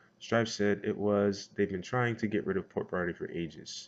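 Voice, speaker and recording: Fairly quick in pace, a man talks at a fairly low pitch with ordinary pitch variation. The background is quiet. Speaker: gaming community vlogger. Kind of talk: vlog rant. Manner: loud; casual, filler-heavy.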